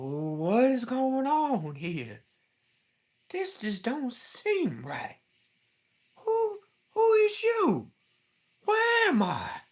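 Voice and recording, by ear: In a put-on character voice, the speaker uses a high pitch and a very slow pace, broken by long, frequent pauses.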